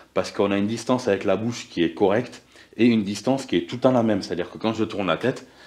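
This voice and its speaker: A man speaks over a quiet background. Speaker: moped restoration youtuber. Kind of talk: casual vlog talk.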